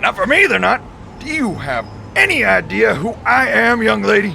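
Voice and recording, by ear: A man's put-on character voice, high and bright with a sharp tone, vocal fry, big pitch swings and a moderate pace over faint background noise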